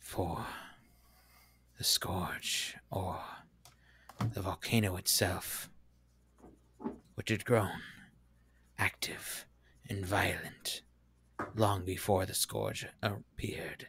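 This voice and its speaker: A man does a booming, raspy put-on character voice at a fairly low pitch. He speaks at a very slow pace with long, frequent pauses. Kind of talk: fantasy game voice acting. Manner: solemn, formal.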